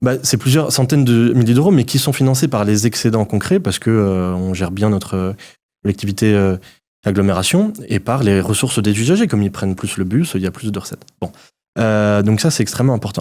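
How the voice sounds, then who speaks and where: A man with a dark, mellow tone talks at a fairly quick pace and fairly low pitch, with ordinary pitch variation, on a very clean recording with a silent background. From Alsace, France (Haut-Rhin). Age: 30s. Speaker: mayor and politician. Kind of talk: political interview.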